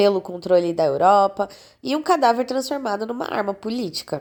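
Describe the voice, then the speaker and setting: Someone with a Brazilian accent sounds animated, with lively intonation. The recording is very clean, with a silent background. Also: woman. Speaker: history youtuber. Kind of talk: scripted narration.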